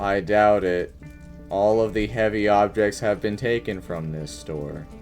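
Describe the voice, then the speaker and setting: A man uses a put-on character voice, fairly low in pitch, at a fairly slow pace. Music plays clearly in the background. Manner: sad, dejected.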